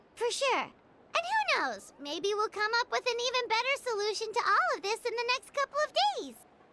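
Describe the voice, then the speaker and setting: An extremely high, put-on character voice. It moves at a moderate pace. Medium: video game.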